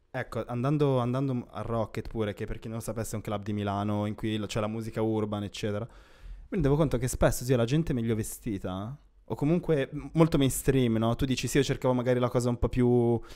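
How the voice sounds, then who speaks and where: A man talks fairly quickly, his pitch varying in an ordinary way, with a quiet background behind him. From Milan, northern Italy. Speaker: podcast co-host. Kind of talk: casual chat. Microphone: handheld.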